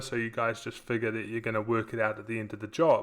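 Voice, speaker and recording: Fairly quick speech from a man with a New Zealand accent. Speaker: software company co-founder, former contractor. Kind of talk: webinar presentation. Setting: online webinar.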